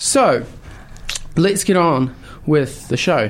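A man's high-pitched voice with a New Zealand accent, at a fairly slow pace. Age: young. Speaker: youth radio host. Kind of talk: radio interview.

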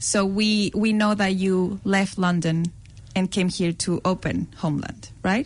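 A woman with a Spanish accent speaks at a fairly slow pace, somewhat breathy, with very even loudness and fairly even intonation. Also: medium pitch for a woman. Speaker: radio co-host. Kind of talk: radio interview. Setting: radio studio.

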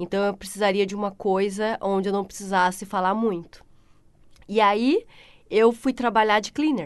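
Set against a quiet background, a woman talks at a medium pitch and moderate pace with fairly even intonation. She has an unremarkable speaking voice. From Brazil, São Paulo state (Pindamonhangaba, Vale do Paraíba). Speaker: tiler. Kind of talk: casual interview.

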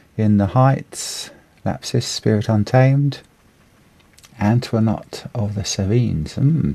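Talking at a very slow pace with long, frequent pauses, a man has a relaxed, dark, mellow tone that is somewhat breathy. His pitch sits at medium with ordinary pitch variation. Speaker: radio host. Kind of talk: live radio show presenting. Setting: studio. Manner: hesitant, filler words, relaxed.

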